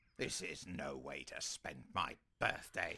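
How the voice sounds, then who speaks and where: A man's cartoonish character voice, very deep, low and raspy, at a fairly slow pace. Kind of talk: animated comedy voice acting. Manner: irritable, pompous, sarcastic.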